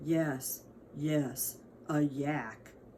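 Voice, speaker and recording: A rumbling, put-on character voice sits at a low-to-middle pitch over clear background noise. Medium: read story. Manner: slow, reluctant.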